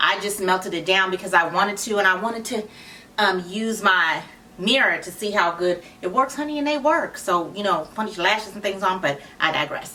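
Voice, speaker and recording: Over noticeable background noise, a woman speaks at a fairly quick pace. Her medium pitch moves with lively intonation. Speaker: wig reviewer and channel founder. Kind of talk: product review. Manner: casual, chatty.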